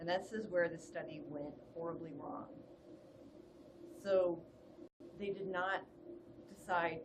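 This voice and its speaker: A woman with a fairly low voice speaks in a calm, somewhat breathy tone, with audible room echo around her. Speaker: public health lecturer. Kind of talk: webinar lecture. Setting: online webinar.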